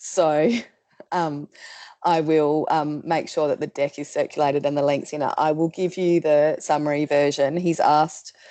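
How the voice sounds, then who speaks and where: With an Australian accent, a woman talks at a moderate pace in a very deep, low voice with a dark, mellow tone and monotone, flat intonation over a quiet background. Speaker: policy presenter. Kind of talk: webinar presentation. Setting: video call. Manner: loud.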